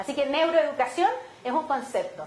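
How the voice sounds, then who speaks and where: In a Chilean accent, a woman speaks at a high pitch and a fairly quick pace in an animated tone, with audible room echo and noticeable background noise. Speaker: education neuroscience expert. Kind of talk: conference talk. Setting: auditorium with audience.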